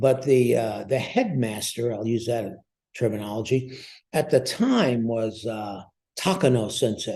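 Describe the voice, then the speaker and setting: The man's voice sits at a medium pitch, dark and mellow in tone and somewhat breathy. He talks at a fairly slow pace. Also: ordinary pitch variation. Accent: American. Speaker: war veteran and martial arts master. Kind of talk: interview storytelling. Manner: animated.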